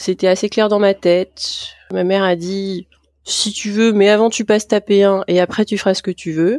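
A woman at medium pitch, monotone and flat, at a fairly slow pace, in a dry, close sound with no echo and a very clean recording over a silent background. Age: 40s. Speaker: geriatrician, care home doctor. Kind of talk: interview. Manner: hesitant, many fillers.

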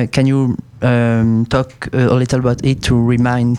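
A man speaks at a medium pitch in monotone, flat intonation, with noticeable background noise behind him. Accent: French. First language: French. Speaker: student radio host. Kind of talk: radio presenting; interview.

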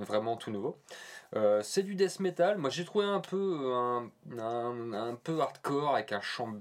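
A man speaks very slowly at a medium pitch. His pitch swings very widely. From Normandy, France. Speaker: podcast co-host. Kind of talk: casual chat. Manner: halting.

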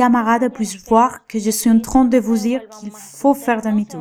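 A woman speaks with a Spanish accent. Her pitch is fairly high and her pace moderate. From Venezuela. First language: Spanish (speaking French). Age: 20s. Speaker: beautician and migrant. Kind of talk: testimony.

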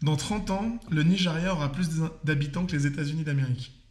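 A man's fairly high pitch with ordinary pitch variation, a moderate pace and audible room echo. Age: 30s. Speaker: podcast guest. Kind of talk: casual debate.

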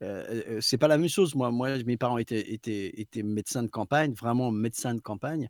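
At a fairly quick pace with hardly any pauses, a man with a plain, everyday voice speaks at a medium pitch with ordinary pitch variation, on a very clean recording with a silent background and a dry, close sound with no echo. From southwest France, Basque coast. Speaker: voice actor. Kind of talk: casual chat. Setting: live stream.

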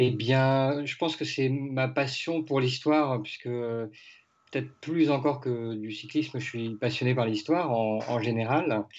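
Very slow pace, fairly even intonation and hardly any pauses. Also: man, medium pitch for a man. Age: 30s. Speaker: cycling author and sports correspondent. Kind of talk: podcast interview. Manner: hesitant, many fillers.

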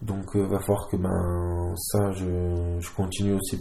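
Through audible room echo, a man speaks at a very deep, low pitch with a dark, mellow tone and monotone, flat intonation. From southern France. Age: 20s. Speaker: rugby player. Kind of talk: casual interview. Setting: at his home. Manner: halting.

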